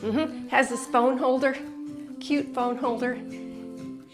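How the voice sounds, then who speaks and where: Over music in the background, a woman with a high voice and an upbeat tone speaks at a very slow pace. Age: 60s. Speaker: fitness instructor. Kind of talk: workout instruction to camera. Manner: upbeat, encouraging.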